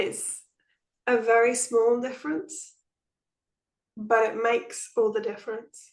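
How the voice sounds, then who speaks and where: A woman with an English accent, a high pitch and ordinary pitch variation, speaking at a fairly slow pace with long, frequent pauses. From England. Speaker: nonduality teacher. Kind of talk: spiritual group talk.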